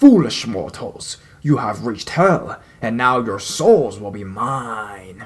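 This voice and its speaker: In a put-on character voice, a man bellows, growls and shouts at a medium pitch. He keeps to a fairly slow pace. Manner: screaming, menacing.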